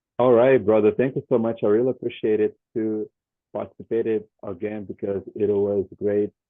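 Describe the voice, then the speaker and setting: A man with a Brazilian Portuguese accent and a fairly low pitch. His intonation stays flat and monotone. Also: moderate pace. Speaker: English student. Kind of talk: language class conversation. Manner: halting, repetitive.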